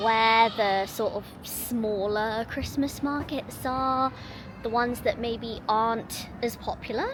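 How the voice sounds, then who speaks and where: Music plays behind a woman who speaks very slowly at a high pitch in a London accent. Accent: southern English (London). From England. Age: 30s. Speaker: vlogger. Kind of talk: casual vlog talk to camera.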